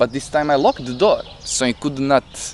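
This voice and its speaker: The voice has a non-native accent and lively intonation at a moderate pace. The sound is dry and close, with no echo. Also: man. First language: not English. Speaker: vlogger recounting psychedelic experience. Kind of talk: personal monologue, storytelling. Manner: halting, with self-corrections.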